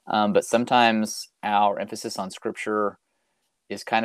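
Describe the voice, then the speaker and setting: Recorded very cleanly over a silent background with a dry, close sound and no echo, a man with an ordinary speaking voice and an American accent talks at a moderate pace and fairly low pitch. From US South, Arkansas. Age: 40s. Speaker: youth minister. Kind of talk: casual interview.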